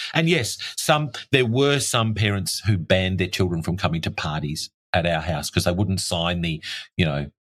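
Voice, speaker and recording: Very deep and low, a man's voice carries lively intonation with an Australian accent. The recording is very clean, with a silent background. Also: moderate pace. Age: 60s. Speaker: tunnel rescue expert and barrister. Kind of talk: interview conversation. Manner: animated.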